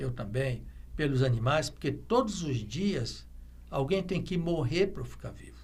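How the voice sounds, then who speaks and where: A man speaks at a fairly slow pace, his loudness swinging widely. Room echo is audible. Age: 70s. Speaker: veterinarian. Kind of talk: interview. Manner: halting, with many fillers; reflective.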